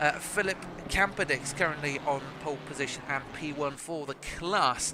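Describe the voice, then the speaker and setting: Noticeable background noise runs under the voice. Its pitch varies in an ordinary way. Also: man. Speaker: sim racing commentator. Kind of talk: live commentary. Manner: stuttering, halting; fast.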